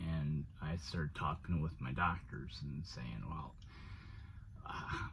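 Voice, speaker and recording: With audible room echo, a man with a very deep, low pitch and vocal fry talks at a fairly slow pace, his pitch varying in an ordinary way. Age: 60s. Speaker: van life vlogger and HVAC technician. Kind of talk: personal vlog monologue. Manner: halting, many fillers.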